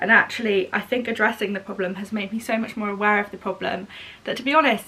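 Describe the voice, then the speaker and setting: Over noticeable background noise, a woman with a southern English accent speaks very fast at medium pitch, with fairly even intonation. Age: 20s. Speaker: vlogger. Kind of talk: casual vlog chat. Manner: chatty.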